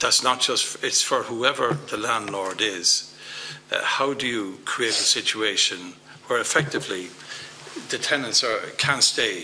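A man speaks with an Irish accent at a fairly slow pace. There is light background noise. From Ireland. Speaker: politician. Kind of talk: committee hearing. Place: meeting room. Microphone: podium.

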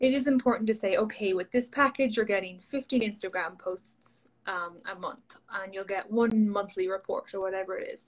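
A somewhat breathy voice in an Irish accent, with a moderate pace and ordinary pitch variation. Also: woman. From Ireland. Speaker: social media coach. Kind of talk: interview. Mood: friendly, upbeat. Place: home room. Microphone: video call.

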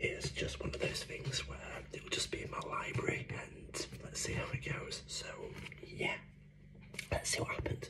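Noticeable background noise sits under a man who whispers at a fairly slow pace. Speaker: ASMR creator. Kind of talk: casual talk to camera.

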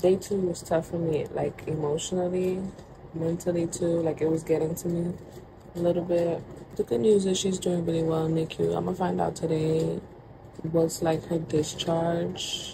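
With noticeable background noise behind her, a woman speaks at a moderate pace in a fairly low pitch, her intonation monotone and flat. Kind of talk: casual vlog chat.

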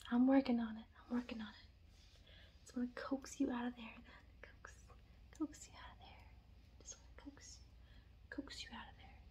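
Soft-spoken, a woman talks at a fairly quick pace. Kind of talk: soft playful roleplay talk to the viewer. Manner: soft close-up ASMR coaxing voice. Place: home room.

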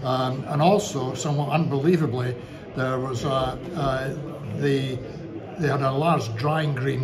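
A man keeps a moderate pace against loud background noise. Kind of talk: interview answer. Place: bar. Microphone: phone near.

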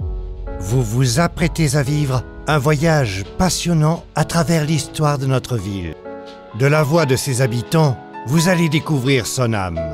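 A man speaks at a very slow pace with lively intonation. Music plays behind him. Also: medium pitch for a man. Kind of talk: podcast intro narration.

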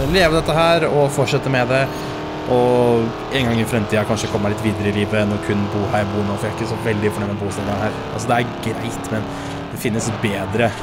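Very fast speech with music in the background. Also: man. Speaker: gaming streamer. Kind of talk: casual gameplay commentary. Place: home room.

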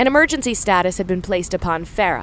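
Her pace fairly quick and her intonation lively, a woman of medium pitch talks in an ordinary speaking voice. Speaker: audiobook narrator. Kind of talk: audio drama narration.

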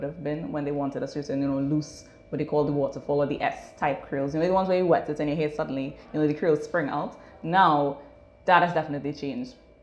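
Over audible room echo, a woman speaks at a very fast pace in a very deep, low pitch with ordinary pitch variation. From Trinidad and Tobago. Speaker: natural hair salon co-owner. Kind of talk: interview. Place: shop. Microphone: lapel.

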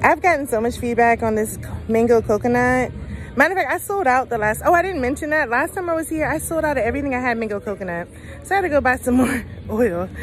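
A woman talks at a very fast pace in a high voice, with a dry sound that has no echo and faint music in the background. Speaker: small business vendor. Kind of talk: casual vlog chat. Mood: cheerful, playful. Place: market. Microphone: phone near.

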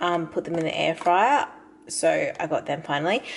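With an ordinary speaking voice, a woman talks at a moderate pace and fairly low pitch over light background noise. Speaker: lifestyle vlogger. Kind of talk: casual vlog chat. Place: kitchen. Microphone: phone near.

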